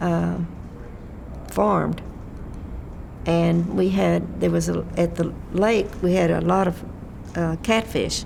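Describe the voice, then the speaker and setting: In a Texan accent, the speaker talks very slowly at a very even loudness with long, frequent pauses, amid audible room echo and noticeable background noise. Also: woman. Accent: Texan Southern US. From Texas, Fort Worth area. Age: 90s. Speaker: elderly resident sharing memories. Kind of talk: oral history interview. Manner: halting.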